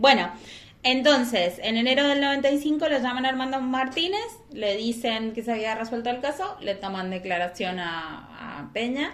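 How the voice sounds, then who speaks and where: A woman speaks fairly slowly in a high pitch, with lively intonation. Audible room echo and noticeable background noise fill the recording. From Argentina, San Martín. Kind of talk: casual chat and true crime storytelling.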